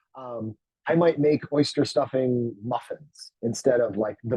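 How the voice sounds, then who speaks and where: Speaking at a moderate pace, he uses a normal speaking voice. His pitch is medium for a man, and it varies in an ordinary way. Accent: American. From US, Baltimore then Pittsburgh area. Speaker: dietitian and company founder. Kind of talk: live webinar talk. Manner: casual, conversational with fillers.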